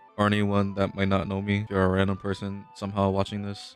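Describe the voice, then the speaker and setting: A man's fairly low-pitched voice over music in the background. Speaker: gamer reading a visual novel aloud on video. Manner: monotone.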